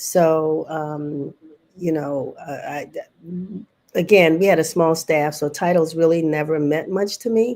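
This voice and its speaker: A woman with an American accent talks at a fairly slow pace in an ordinary speaking voice, fairly low in pitch, with fairly even intonation. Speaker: newspaper publisher. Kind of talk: panel interview.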